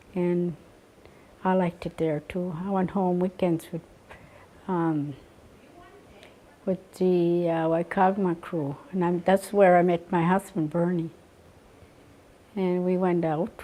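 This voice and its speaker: A woman with a Maritime Canadian accent, a fairly low pitch, monotone, flat intonation, a very slow pace and long, frequent pauses. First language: Mi'kmaq. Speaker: residential school survivor. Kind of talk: interview testimony. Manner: halting, many fillers.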